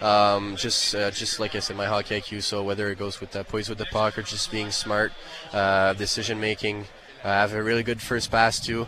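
Against noticeable background noise, a man with a fairly low pitch talks in a flat monotone. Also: moderate pace. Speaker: drafted hockey player. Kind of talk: interview. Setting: arena radio row.

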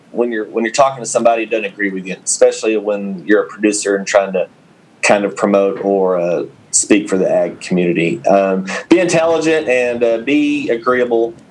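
This is a man speaking. He has a West Texas accent. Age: 30s. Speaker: farmer and podcast co-host. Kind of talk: casual chat.

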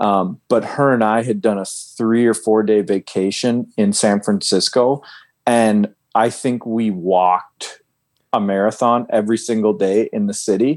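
A man with an ordinary speaking voice talks at a fairly slow pace and fairly low pitch, with fairly even intonation and very even loudness. The recording is very clean, with a silent background. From US Upper Midwest (Fargo, North Dakota). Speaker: athlete manager and former pro cyclist. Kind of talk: casual interview.

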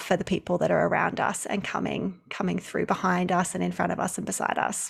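A woman with an Australian accent speaks at a fairly quick pace. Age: 30s. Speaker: maternity leave coach. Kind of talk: casual chat.

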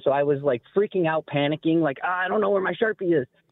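A man with an American accent, a plain, everyday voice, fairly high pitch and ordinary pitch variation. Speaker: caller, football fan. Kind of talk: personal story on call-in show. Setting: phone call.

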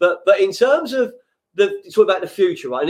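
A man with a London accent, very fast and with a passionate, animated tone. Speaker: podcast host. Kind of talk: casual interview chat.

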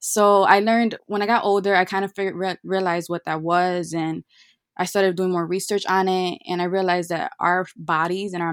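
A woman's medium-pitched voice, flat and monotone, at a moderate pace, dry and close with no echo. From Chicago. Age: 20s. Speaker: virtual assistant. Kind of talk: casual chat.

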